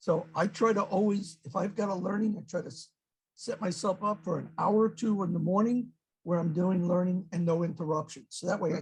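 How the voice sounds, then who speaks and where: This man speaks at a fairly quick pace with a New York accent, his pitch high and its variation ordinary. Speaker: webinar participant, author. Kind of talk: webinar discussion. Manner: fast; direct.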